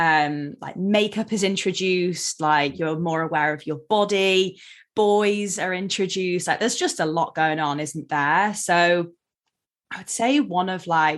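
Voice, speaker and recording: A woman with an American accent speaks at a fairly slow pace over a quiet background. She has a plain, everyday voice, a fairly low pitch and ordinary pitch variation. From England (Derby), partly Seattle as a child. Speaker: eating disorder therapist. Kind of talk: podcast interview. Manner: casual, many fillers (um, like).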